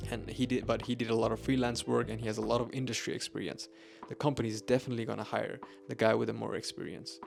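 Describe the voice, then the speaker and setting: A man mumbling at a very fast pace. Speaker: software engineer and YouTuber. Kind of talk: tutorial. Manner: halting, with self-corrections.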